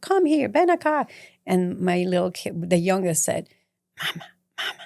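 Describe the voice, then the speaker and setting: Her pitch swinging very widely around a medium level, a woman speaks at a moderate pace with a Mexican accent. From Mexico City. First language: Spanish. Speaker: community advocate. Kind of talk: interview.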